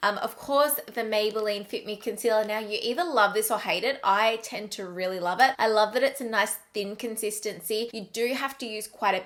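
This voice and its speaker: With an Australian accent, a woman speaks at a fairly high pitch with ordinary pitch variation. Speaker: beauty vlogger. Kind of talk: product review vlog. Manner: casual, chatty.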